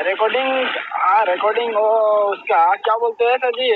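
A man talks at a moderate pace in an extremely high pitch for a man. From Assam, India. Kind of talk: recorded phone conversation. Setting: phone line.

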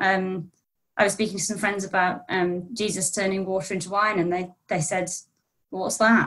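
Over a quiet background, a woman with a British accent and a medium pitch talks at a moderate pace in a monotone, flat intonation. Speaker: think tank researcher; guest. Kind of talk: panel discussion. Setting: video call. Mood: friendly, thoughtful. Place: home room. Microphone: video call.

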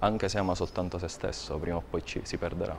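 A man talks at a fairly quick pace in a very deep, low pitch with ordinary variation. Light background noise is present. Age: 30s. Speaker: poet. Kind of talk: interview. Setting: TV studio. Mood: reflective, calm. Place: studio. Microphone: lapel.

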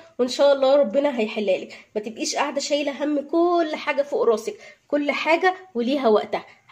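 A woman's high-pitched voice at a fairly quick pace, against a quiet background. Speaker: housewife vlogger. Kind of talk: casual vlog chat. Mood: earnest, heartfelt. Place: kitchen. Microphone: phone near.

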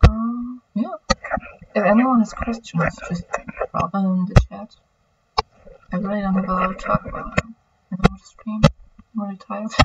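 Speech at a moderate pace, with long, frequent pauses. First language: German. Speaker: streamer. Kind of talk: casual livestream chat while drawing. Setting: livestream with home microphone. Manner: rambling, halting.

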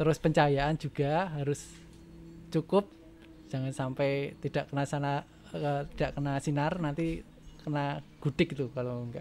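A man's ordinary speaking voice, fairly high in pitch, at a moderate pace with fairly even intonation over light background noise. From Yogyakarta region, Indonesia; Indonesia. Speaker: primary school teacher and rabbit farmer; primary school teacher, rabbit farmer. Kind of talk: casual interview chat. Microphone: studio mic.

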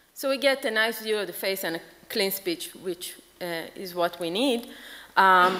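At a moderate pace, the woman's delivery shows ordinary pitch variation. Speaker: conference presenter. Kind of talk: lecture. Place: hall. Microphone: podium.

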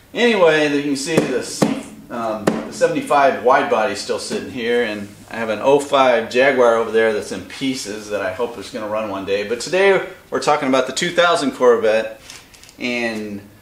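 Lively intonation marks this man's speech at a moderate pace. Audible room echo surrounds his voice. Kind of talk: tutorial. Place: garage. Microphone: camera far.

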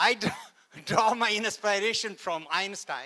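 A man speaks in a bright, sharp tone over a quiet background. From India, Kashmir. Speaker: NASA scientist; guest lecturer. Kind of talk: lecture. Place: hall.

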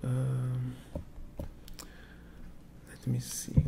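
Loud background noise surrounds a soft-spoken man. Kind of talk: role-play medical exam talk. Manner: soft-spoken ASMR doctor murmur.

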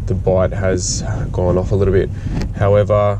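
A very deep, low male voice at a moderate pace amid noticeable background noise. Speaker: fishing vlogger driving. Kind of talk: casual vlog chat. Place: car. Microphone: phone near.

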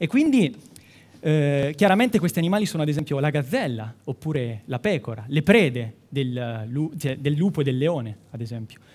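This man's pitch sits fairly high and his intonation is lively. He speaks at a moderate pace. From Umbria, Italy (Città di Castello, Perugia). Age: 20s. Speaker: medical student, science communication contestant. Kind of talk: timed science talk for a competition. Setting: stage with audience. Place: hall.

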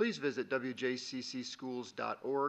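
A man speaks with a bright, sharp tone. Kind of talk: formal report announcements. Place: meeting room. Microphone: podium.

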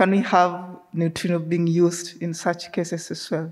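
Speaking at a fairly slow pace, a woman keeps her fairly low pitch with little pitch movement.

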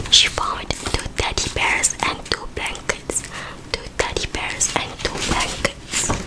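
A woman whispers at a very slow pace. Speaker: ASMR creator. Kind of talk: soft bedtime story reading. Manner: soft ASMR bedtime reading voice. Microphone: studio mic.

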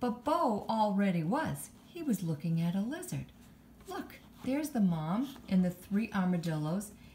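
The clip consists of plain reading aloud.

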